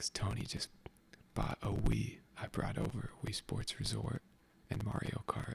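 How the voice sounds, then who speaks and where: Someone whispers. The whispering moves at a fairly slow pace. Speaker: ASMR creator. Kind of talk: casual ASMR chat. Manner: animated.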